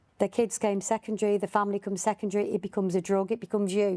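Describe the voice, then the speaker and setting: In a Birmingham accent, a woman speaks very fast with a dark, mellow tone, flat monotone intonation and very even loudness, the sound dry and close with no echo on a very clean recording with a silent background. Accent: Birmingham area. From English Midlands, Birmingham area. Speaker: podcast host. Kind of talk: podcast interview.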